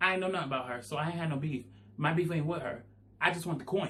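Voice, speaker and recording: A man talks very fast in a fairly high voice, his pitch rising and falling in an ordinary way. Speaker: YouTuber. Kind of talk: storytime monologue. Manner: animated.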